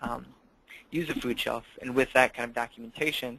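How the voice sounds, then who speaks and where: A man with a Minnesotan accent at a fairly quick pace. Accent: Minnesota. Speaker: campus food program director. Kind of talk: webinar presentation. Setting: online webinar call.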